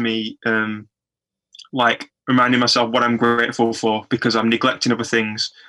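Bright and sharp in tone, a man speaks at a medium pitch and moderate pace with monotone, flat intonation. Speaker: podcast host. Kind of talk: interview. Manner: stutter; hesitant, many fillers.

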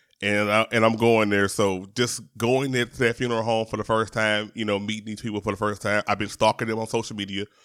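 Hardly pausing, a man races along at a very fast pace in a fairly low, monotone, flat voice, recorded very cleanly with a silent background. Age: 40s. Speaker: podcast host. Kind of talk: casual monologue. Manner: halting.

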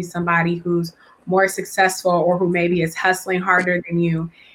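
A woman's bright, sharp, medium-pitched voice with an American accent. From California. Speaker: podcast host and actress. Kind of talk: casual interview chat. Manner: animated.

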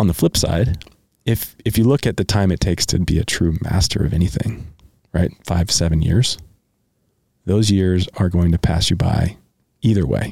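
A man with a very deep, low pitch and a dark, mellow tone speaks at a moderate pace, somewhat breathy. His pitch varies in an ordinary way, his loudness stays very even, and he takes long, frequent pauses. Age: 30s. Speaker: podcast host. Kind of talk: casual chat.

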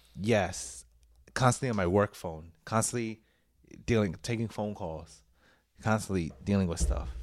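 With a New York accent and a fairly low pitch, a man speaks at a moderate pace with lively intonation and long, frequent pauses in a very clean recording with a silent background. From New York City; Puerto Rican heritage. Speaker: podcast host. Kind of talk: casual chat.

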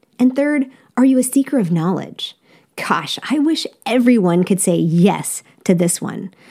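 A woman's fairly high, somewhat breathy voice with a dark, mellow tone, very wide pitch swings, a fairly slow pace and an American accent. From United States. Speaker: podcast host. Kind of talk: interview, casual chat.

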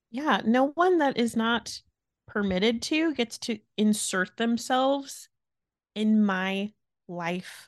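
Lively intonation marks a woman's fairly high-pitched voice at a very slow pace. The sound is dry and close, with no echo. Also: quiet background. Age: 30s. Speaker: podcast co-host. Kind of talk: casual chat.

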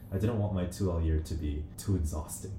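At a moderate pace and with fairly even intonation, the speech comes with audible room echo. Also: man. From New Zealand and Korea. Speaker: law student podcast co-host. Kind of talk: casual chat.

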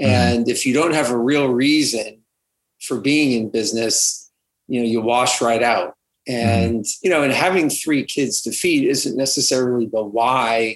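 A man with a medium pitch and an American accent speaks at a moderate pace with ordinary pitch variation and an unremarkable speaking voice. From California. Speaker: realtor and author. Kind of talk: interview.

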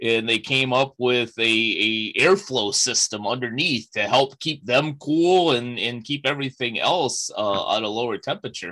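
A man with an American accent speaks in a bright, sharp tone at medium pitch and a moderate pace, with hardly any pauses. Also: ordinary pitch variation. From Chicago. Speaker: podcast host. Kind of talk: interview podcast.

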